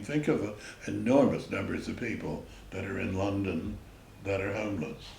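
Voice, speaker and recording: There is noticeable background noise and audible room echo. A man with an American accent speaks at a moderate pace and fairly low pitch. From New York City, the Bronx. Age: 90s. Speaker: retired entrepreneur and artist, local resident. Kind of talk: oral history interview.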